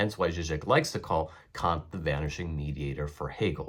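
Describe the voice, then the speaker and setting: A man with a very deep, low pitch and vocal fry talks at a moderate pace on a very clean recording with a silent background. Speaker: philosophy educator. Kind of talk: lecture. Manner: formal.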